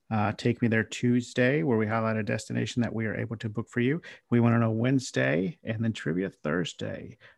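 A man speaks at a fairly quick pace with a medium pitch, in a normal speaking voice. The sound is dry and close, with no echo. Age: 30s. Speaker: podcast host, travel agent. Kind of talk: casual chat.

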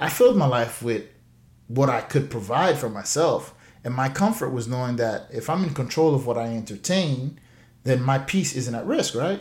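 A man talks at a moderate pace in a medium pitch. His somewhat breathy voice has lively intonation. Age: 30s. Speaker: financial coach podcast host. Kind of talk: solo podcast monologue.

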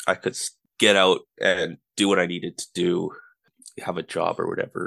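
A man at a moderate pace, against a quiet background, in a dry, close sound with no echo. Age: 20s. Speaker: person in addiction recovery. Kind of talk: casual interview.

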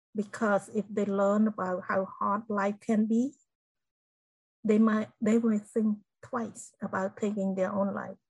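A woman with a Cambodian accent speaks at a fairly slow pace and medium pitch. Her voice is somewhat breathy, her intonation monotone and flat. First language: Khmer. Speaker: genocide survivor and inspirational speaker. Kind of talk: interview testimony.

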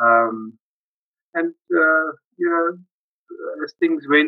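A man with a fairly high pitch talks at a very slow pace with ordinary pitch variation. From South Africa, Johannesburg area. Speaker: family member guest. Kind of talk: casual chat.

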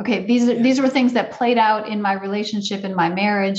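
Somewhat breathy, a woman with an American accent talks at a medium pitch with ordinary pitch variation. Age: 50s. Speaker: parenting coach and author. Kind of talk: interview.

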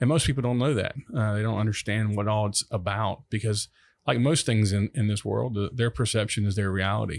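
A man's fairly low voice at a fairly quick pace, with ordinary pitch variation and very even loudness, in a very clean recording with a silent background. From US South, Mississippi Gulf Coast. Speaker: city manager. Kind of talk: podcast interview. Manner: halting.

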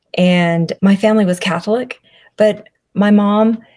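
Somewhat breathy and with a Southern US accent, a woman speaks at a fairly slow pace with fairly even intonation. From US South. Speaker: public speaker and chronic illness advocate. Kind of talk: personal testimony in interview.

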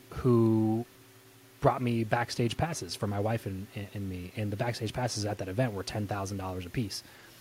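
A man with a plain, everyday voice speaks at a fairly low pitch and a moderate pace, with fairly even intonation. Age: 30s. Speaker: podcast host and entrepreneur. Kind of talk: interview. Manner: casual, conversational.

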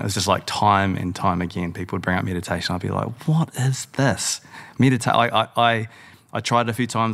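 With a New Zealand accent and vocal fry, a man speaks at a very fast pace with ordinary pitch variation. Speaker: podcast host and founder. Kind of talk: casual chat.

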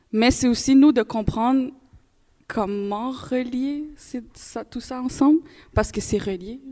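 A woman with a high pitch and a dark, mellow tone speaks at a very slow pace with ordinary pitch variation, long, frequent pauses and big swings in loudness. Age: young. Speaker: university student. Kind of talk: live panel discussion. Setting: live event with audience.

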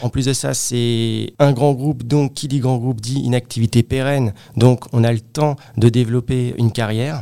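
A man of medium pitch speaks in a normal speaking voice at a moderate pace, his intonation fairly even. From Paris region, Créteil (Val-de-Marne). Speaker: real estate appraiser and team manager. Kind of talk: interview.

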